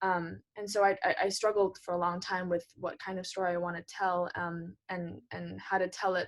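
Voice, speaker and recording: A woman speaks in a monotone, flat intonation with hardly any pauses. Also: medium pitch for a woman, moderate pace. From Hong Kong. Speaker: playwright and performer. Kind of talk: interview answer.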